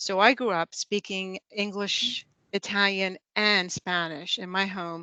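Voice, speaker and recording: A woman with an American accent, medium-pitched and bright and sharp in tone, at a very slow pace in a dry, close sound with no echo and a quiet background. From Florida, US. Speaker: human resources lead. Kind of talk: panel discussion introduction.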